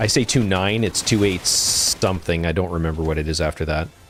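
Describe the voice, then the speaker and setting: A man with a Canadian accent speaks against noticeable background noise. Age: old. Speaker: gaming streamer. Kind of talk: casual chat. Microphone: studio dynamic mic.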